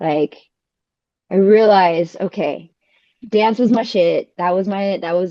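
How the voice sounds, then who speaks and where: The tone is dark and mellow, with a Californian accent. Long pauses come frequently. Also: woman, medium pitch for a woman, ordinary pitch variation. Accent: Californian American. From California, US. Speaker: dancer and architect. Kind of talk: casual chat. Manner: animated.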